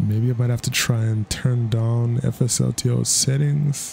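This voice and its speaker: This man's dark, mellow voice is somewhat breathy, sitting at a medium pitch with fairly even intonation. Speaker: flight sim gaming youtuber. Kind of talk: gameplay commentary. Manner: casual, laid-back with frequent laughs.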